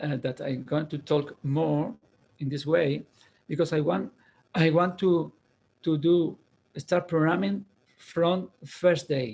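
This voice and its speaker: Very slowly and with a non-native accent, a man speaks at a fairly high pitch with ordinary variation. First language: Spanish. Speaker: university programming lecturer. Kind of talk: lecture. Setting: online video class. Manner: halting, with many fillers and repeats.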